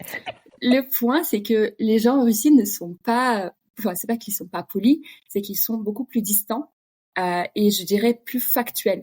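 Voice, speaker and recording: Somewhat breathy and dark, mellow in tone, a woman speaks at a very slow pace with big swings in loudness and ordinary pitch variation, the sound dry and close with no echo. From Russia (Kamchatka). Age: 30s. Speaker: podcast guest, expatriate. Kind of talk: casual interview chat.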